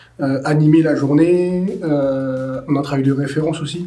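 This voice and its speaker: A man's fairly high-pitched voice amid noticeable background noise and audible room echo. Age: 20s. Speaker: youth support worker. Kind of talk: interview. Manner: hesitant, many fillers.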